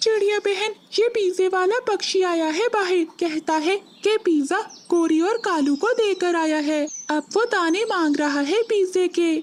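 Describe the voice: Pitched extremely high, a cartoonish character voice moves along at a moderate pace.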